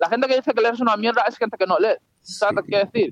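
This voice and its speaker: A man speaks at an extremely high pitch with ordinary pitch variation. The sound is dry and close, with no echo. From Spain (Madrid). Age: 20s. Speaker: psychology student. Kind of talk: casual interview.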